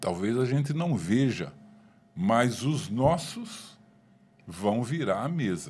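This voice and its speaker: A man's medium-pitched voice with very wide pitch swings, very slow and full of long, frequent pauses, amid audible room echo. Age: 60s. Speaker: government official. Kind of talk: panel discussion. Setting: podcast.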